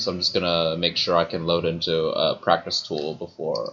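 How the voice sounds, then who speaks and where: Man's voice at a moderate pace, with a slight American accent. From partly Colorado, US (ages four to eleven). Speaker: gaming streamer. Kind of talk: casual chat while gaming livestream.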